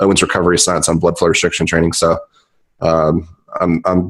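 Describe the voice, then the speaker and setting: Speaking with an American accent, this man has a very deep, low pitch. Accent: slight Southern accent, stronger after drinks. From US South, Charlotte, North Carolina. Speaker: physical therapist. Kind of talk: podcast interview.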